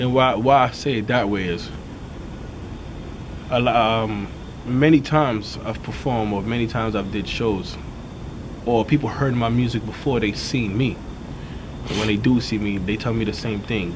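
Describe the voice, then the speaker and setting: Amid audible room echo and noticeable background noise, a man speaks at a medium pitch and moderate pace with fairly even intonation and long, frequent pauses. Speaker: rapper. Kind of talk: interview. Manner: casual, repetitive fillers.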